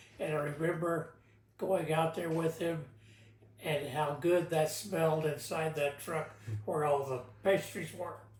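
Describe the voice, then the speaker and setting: Someone with an American accent speaks at a fairly slow pace with long, frequent pauses, amid noticeable background noise and audible room echo. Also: man, fairly high pitch for a man. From Texas, Houston. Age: 80s+. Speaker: interviewee, great-grandfather. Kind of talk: oral history interview. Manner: halting.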